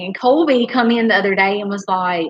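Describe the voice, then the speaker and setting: Her pace moderate, a woman speaks with a strong Southern US accent and ordinary pitch variation. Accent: strong Southern country. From US South. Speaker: homesteader, channel co-host. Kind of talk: casual live-stream chat.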